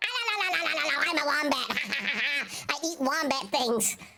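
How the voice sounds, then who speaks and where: This is a put-on character voice at a high pitch. The pace is very slow. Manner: silly, comic.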